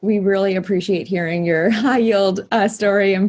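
A woman at medium pitch in a normal speaking voice. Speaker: student podcast host. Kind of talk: interview conversation.

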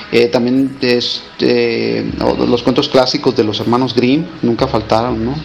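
Noticeable background noise surrounds a man speaking. He talks at a fairly slow pace with hardly any pauses. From Mexico, Mazatlán, Sinaloa. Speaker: writer. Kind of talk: interview. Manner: halting.

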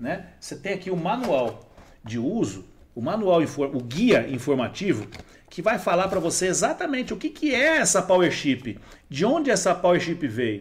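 A man with a high pitch talks at a moderate pace, his voice making very wide pitch swings. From Brazil, Diadema (São Paulo). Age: 40s. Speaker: entrepreneur, NGO founder. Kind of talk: casual interview. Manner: animated.

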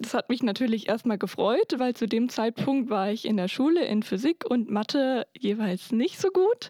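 In a normal speaking voice, the speaker keeps a moderate pace with lively intonation. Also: woman, fairly high pitch for a woman. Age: 20s. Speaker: engineering student. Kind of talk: interview.

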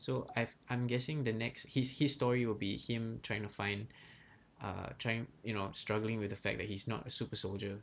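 Delivered at a moderate pace with fairly even intonation, it is a plain, everyday voice. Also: man, medium pitch for a man. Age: 20s. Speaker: podcast host. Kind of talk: casual chat.

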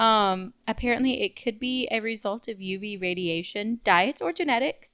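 On a very clean recording with a silent background, a woman with a normal speaking voice talks at a moderate pace and a fairly high pitch, with ordinary pitch variation. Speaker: podcast co-host. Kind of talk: casual chat.

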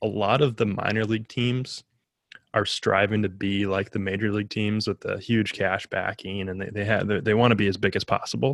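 A man with an American accent uses an ordinary speaking voice, fairly low in pitch with fairly even intonation, dry and close with no echo on a very clean recording with a silent background. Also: fairly quick pace. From Minnesota. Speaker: podcast co-host, interviewer. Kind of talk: casual interview.

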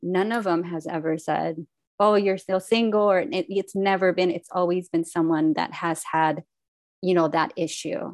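Against a quiet background, a woman speaks at a moderate pace in a plain, everyday voice, fairly low in pitch with fairly even intonation. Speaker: podcast host. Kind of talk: podcast interview.

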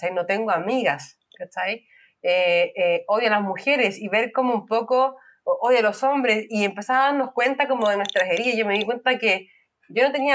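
A woman has an unremarkable speaking voice at a fairly high pitch. She talks at a moderate pace with ordinary pitch variation. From Chile. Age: 30s. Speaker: podcast guest. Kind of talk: casual chat.

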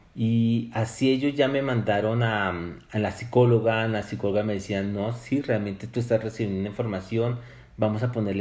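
A man with a plain, everyday voice, fairly low in pitch, at a fairly slow pace with fairly even intonation. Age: 50s. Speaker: poet and spiritual author. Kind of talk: interview.

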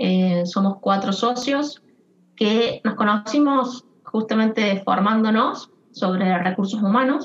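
A woman's fairly high, somewhat breathy voice at a very slow pace with very even loudness. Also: ordinary pitch variation. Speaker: HR consultant, co-founder. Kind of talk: interview.

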